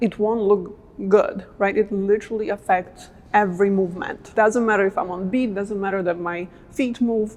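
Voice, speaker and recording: Against noticeable background noise, a woman speaks at a moderate pace with a medium pitch and fairly even intonation. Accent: non-native. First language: not English. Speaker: dance coach. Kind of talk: tutorial. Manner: casual, conversational.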